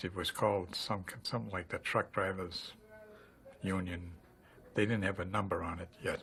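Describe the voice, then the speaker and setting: With a bright, sharp tone, a man with a very deep, low pitch speaks at a moderate pace in fairly even intonation, leaving long, frequent pauses. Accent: American. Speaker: retired teamster. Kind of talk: testimony.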